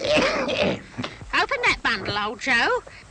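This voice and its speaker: This is a cartoonish character voice with an extremely high pitch. Clear background noise can be heard behind it. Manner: callous, coarse.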